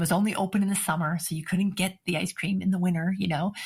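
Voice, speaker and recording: A woman with an American accent speaks at a very fast pace, her fairly low voice somewhat breathy and her intonation monotone and flat. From New England (Cape Cod, Massachusetts). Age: 60s. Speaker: author and workplace consultant. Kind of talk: podcast interview.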